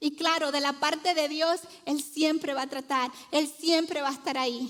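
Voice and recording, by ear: At a fairly slow pace, a woman with a high voice speaks with fairly even intonation. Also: fairly bright tone.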